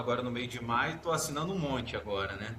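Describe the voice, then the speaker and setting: This man's voice carries audible room echo. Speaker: judge. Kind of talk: casual chat.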